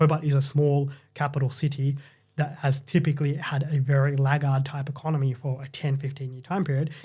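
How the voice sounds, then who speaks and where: A man with an Australian accent speaks at a fairly quick pace in a fairly high pitch, his dark, mellow tone somewhat breathy, his intonation monotone and flat, and his loudness swinging widely. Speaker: property market commentator. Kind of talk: podcast discussion.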